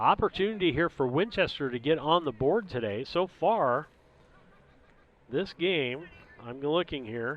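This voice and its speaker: Using lively intonation, a man with a fairly high pitch talks at a fairly slow pace, leaving long, frequent pauses. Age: 60s. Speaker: sports commentator. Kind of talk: live commentary.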